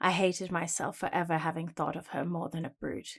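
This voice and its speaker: A woman with a British accent at a fairly quick pace, on a very clean recording with a silent background. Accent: general British. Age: young. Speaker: voice actor. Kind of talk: audiobook narration, first person fantasy.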